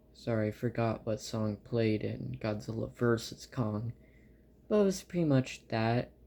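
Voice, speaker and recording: The voice carries a dark, mellow tone. It moves at a fairly slow pace. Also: man, medium pitch for a man, ordinary pitch variation. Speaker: movie reviewer on own channel. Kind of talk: casual monologue review. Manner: halting, filler-heavy.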